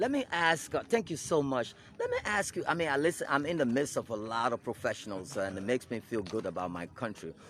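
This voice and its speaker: A man talks at a very fast pace with hardly any pauses. His pitch swings very widely. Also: fairly high pitch for a man. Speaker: news agency director and interviewer. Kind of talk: interview. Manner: hesitant, many fillers.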